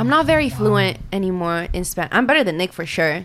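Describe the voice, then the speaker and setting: A woman's fairly low voice with very wide pitch swings and a fairly quick pace, over noticeable background noise. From Argentina. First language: Spanish. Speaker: podcast co-host.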